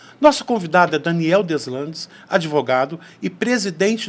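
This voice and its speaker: A normal speaking voice from a man, moderate in pace and fairly high-pitched. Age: 60s. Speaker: podcast host. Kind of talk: interview conversation.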